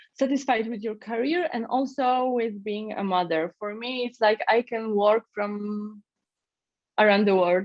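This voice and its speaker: A woman speaks at a fairly slow pace and a medium pitch, with ordinary pitch variation. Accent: Polish. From Poland. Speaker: startup founder. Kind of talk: interview. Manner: halting.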